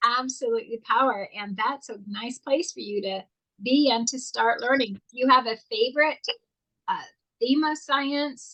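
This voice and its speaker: This woman's high voice shows ordinary pitch variation and big swings in loudness. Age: 60s. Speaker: talk show co-host. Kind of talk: casual interview. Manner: animated.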